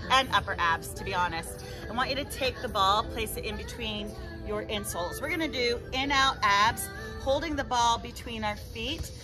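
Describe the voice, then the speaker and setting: Clear music sounds in the background. A woman talks at a moderate pace. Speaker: fitness instructor. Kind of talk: workout instruction with counting. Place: garden.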